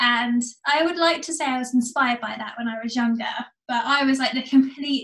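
A woman with an English accent speaks at a high pitch. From England, seaside. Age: 20s. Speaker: amateur runner. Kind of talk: casual interview.

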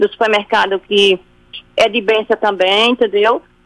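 A woman speaks at a moderate pace. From Sergipe, Brazil. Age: 40s. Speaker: radio listener caller. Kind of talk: testimony. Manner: halting.

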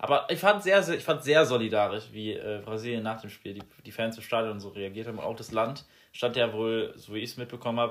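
A man with an unremarkable speaking voice talks fairly quickly at a medium pitch, with ordinary pitch variation. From Rhineland-Palatinate, Germany (near Mainz). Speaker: podcast host, political science student. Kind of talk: casual chat. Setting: home recording.

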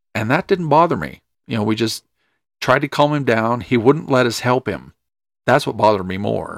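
A man with a medium pitch and vocal fry speaks at a moderate pace with lively intonation, on a very clean recording with a silent background and a dry, close sound lacking echo. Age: 40s. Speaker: podcast co-host. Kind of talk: casual chat.

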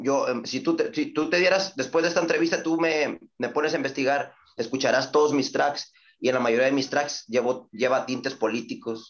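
This man has an ordinary speaking voice, pitched fairly high, showing ordinary pitch variation at a moderate pace. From Reynosa, Tamaulipas, Mexico. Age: 30s. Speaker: rapper. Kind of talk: casual interview.

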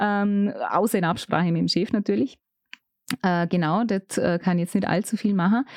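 The speaker moves at a moderate pace with long, frequent pauses, very even loudness and ordinary pitch variation, in a dry, close sound with no echo against a quiet background. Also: woman, medium pitch for a woman. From Austria, Vorarlberg (Bregenzerwald). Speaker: radio and event presenter. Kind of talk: casual interview chat.

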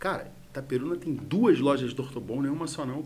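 A man talks at a very fast pace. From Rio de Janeiro city, Brazil. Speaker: entrepreneur. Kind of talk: casual interview. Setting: studio.

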